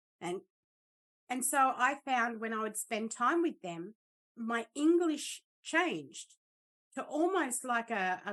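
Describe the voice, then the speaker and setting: Against a quiet background, a high-pitched woman with an Australian accent speaks very slowly, her pitch swinging very widely between long, frequent pauses. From Australia, Darwin, Northern Territory. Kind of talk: casual chat.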